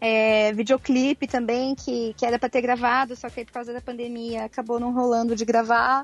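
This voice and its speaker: At a moderate pace and with hardly any pauses, a woman speaks in a high pitch with flat, monotone intonation and big swings in loudness. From Brazil, Mato Grosso do Sul (Campo Grande). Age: 20s. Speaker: singer-songwriter. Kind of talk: remote interview.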